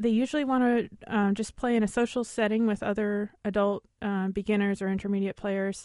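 A dark, mellow tone at a fairly quick pace, monotone and flat in intonation, with very even loudness. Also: woman, medium pitch for a woman, hardly any pauses. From Alaska. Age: 20s. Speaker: fiddle player and teacher. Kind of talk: radio interview. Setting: studio. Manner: friendly, laughs often.

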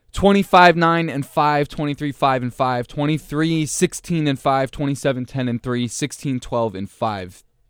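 On a very clean recording with a silent background and a dry, close sound with no echo, a man speaks in an unremarkable speaking voice at a moderate pace, with ordinary pitch variation and hardly any pauses. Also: fairly high pitch for a man. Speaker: basketball podcast co-host. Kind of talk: casual sports discussion podcast. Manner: laughs often, easygoing.

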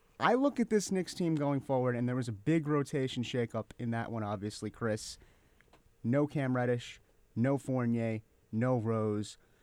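In a very clean recording with a silent background, a man with an unremarkable speaking voice talks at a moderate pace, medium in pitch, with ordinary pitch variation. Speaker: podcast host. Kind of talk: casual sports podcast chat. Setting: studio.

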